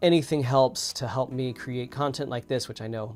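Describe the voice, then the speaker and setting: Over music in the background, a man speaks at medium pitch with fairly even intonation. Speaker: web developer YouTuber live coding. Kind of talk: live stream tutorial. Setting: live stream. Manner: rambling with many fillers.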